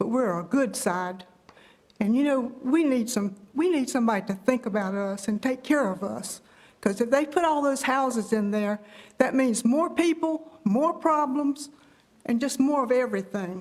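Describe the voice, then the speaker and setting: With a North Carolina accent, a woman speaks in a high voice at a moderate pace. Her intonation is lively. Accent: Southern US (North Carolina). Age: 80s+. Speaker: elderly resident speaking at public comment. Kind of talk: public comment at council meeting. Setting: county board meeting room.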